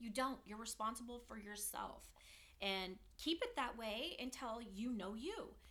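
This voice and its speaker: A woman with an American accent, fairly high in pitch, with a bright, sharp tone, ordinary pitch variation and a fairly slow pace. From US West Coast, San Francisco Bay Area. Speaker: mother of the hosts. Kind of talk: casual chat.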